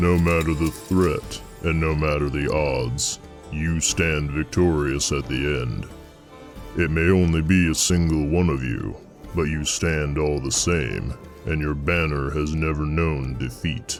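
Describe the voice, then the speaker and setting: Over clear background music, a man performs a put-on character voice at a fairly slow pace. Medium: read story. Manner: plain-spoken, steady.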